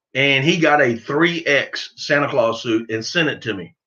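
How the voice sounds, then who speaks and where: A man with a Southern US accent, fairly high pitch, and a very slow pace. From US South. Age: 50s. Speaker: duck hunting youtuber. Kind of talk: live stream chat. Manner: casual, halting.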